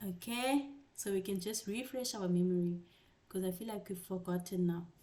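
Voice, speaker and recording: Using an ordinary speaking voice, a woman talks at medium pitch and a moderate pace with ordinary pitch variation. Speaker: tutor. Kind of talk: online class lecture.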